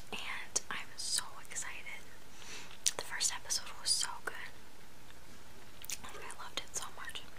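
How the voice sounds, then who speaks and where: A soft-spoken woman whispers. Her pace is fairly slow. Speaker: vlogger. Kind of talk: casual vlog chat. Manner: soft ASMR whisper, chewing gum. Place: home room. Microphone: webcam.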